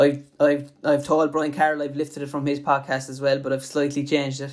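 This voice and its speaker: This man's voice sits at a fairly high pitch. He speaks at a moderate pace. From Ireland, Limerick. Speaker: podcast host, sports illustrator. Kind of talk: casual interview; scripted intro.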